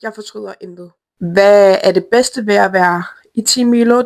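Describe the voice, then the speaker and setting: A plain, everyday voice belongs to a woman of medium pitch. She talks at a fairly slow pace with ordinary pitch variation. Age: 20s. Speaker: media lead of an online community. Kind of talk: self-introduction to camera.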